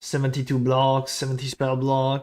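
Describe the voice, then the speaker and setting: A speaker with a French accent is heard on a very clean recording with a silent background. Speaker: video game streamer. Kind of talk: live stream chat. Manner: casual, animated.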